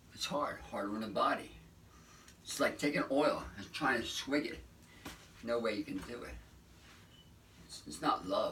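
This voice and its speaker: A man talks at a moderate pace with big swings in loudness and long, frequent pauses over noticeable background noise. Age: 70s. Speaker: raw vegan lifestyle vlogger. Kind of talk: casual motivational monologue.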